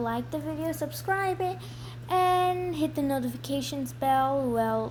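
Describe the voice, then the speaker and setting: A woman talks at a moderate pace. Room echo is audible. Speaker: gaming YouTuber. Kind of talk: gameplay tutorial. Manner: quiet.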